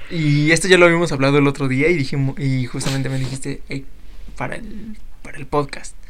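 With a Mexican accent, a man speaks at a fairly quick pace and fairly high pitch, showing ordinary pitch variation and big swings in loudness against noticeable background noise. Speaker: podcast host. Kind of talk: casual chat.

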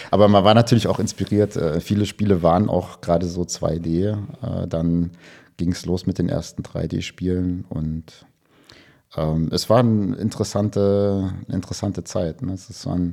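Fairly slow and fairly even in intonation, the voice carries a dark, mellow tone. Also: man, very deep, low pitch for a man. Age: 40s. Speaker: computer vision professor. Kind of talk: casual interview. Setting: video call.

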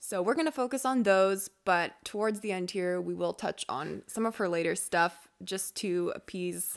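A woman with a normal speaking voice talks at a medium pitch and moderate pace, her pitch varying in an ordinary way. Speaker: podcast host. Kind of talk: casual chat.

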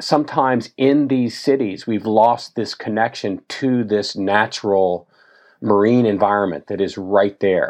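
A man with an American accent talks fairly slowly in a plain, everyday voice, his fairly low pitch showing ordinary variation. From Tennessee, US South. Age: 50s. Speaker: endurance athlete and ocean advocate. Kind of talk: interview conversation.

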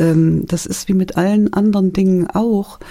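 The voice is dark and mellow in tone, flat and monotone, moving at a fairly slow pace. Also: woman. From Thuringia, Germany. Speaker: author. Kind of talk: radio interview. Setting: studio.

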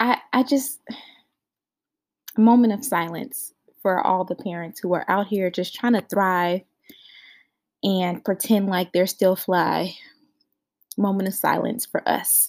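A soft-spoken woman with medium pitch and ordinary pitch variation talks at a fairly slow pace. She leaves long, frequent pauses on a very clean recording with a silent background. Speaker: podcast host. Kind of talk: casual chat. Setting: in a closet at home.

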